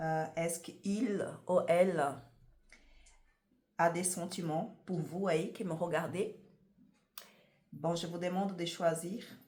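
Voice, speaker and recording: In a room with audible echo, a woman speaks at a fairly low pitch with fairly even intonation. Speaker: tarot reader. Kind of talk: tarot card reading to camera. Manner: hesitant, many fillers.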